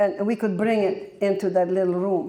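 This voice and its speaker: A woman's medium-pitched, dark, mellow voice with a Polish accent, fairly quick in pace and with ordinary pitch variation. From Poland, German family. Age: 80s+. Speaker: Holocaust-era war survivor. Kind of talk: testimony. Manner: halting.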